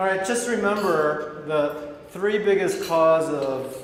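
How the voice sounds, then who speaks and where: A man with an American accent and ordinary pitch variation, with audible room echo and noticeable background noise. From Michigan, US Midwest. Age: 50s. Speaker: doctor giving a health seminar. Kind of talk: sales pitch seminar. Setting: seminar room with audience.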